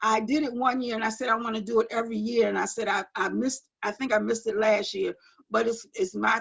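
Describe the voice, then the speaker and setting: A woman speaks in a fairly high pitch with ordinary pitch variation and a plain, everyday voice. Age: 60s. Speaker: guest sharing life story. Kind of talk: testimony.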